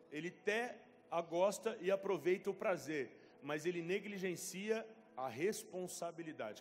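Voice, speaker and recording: Speaking fairly slowly, a man with a high pitch shows ordinary pitch variation. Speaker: pastor. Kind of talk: sermon. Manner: animated.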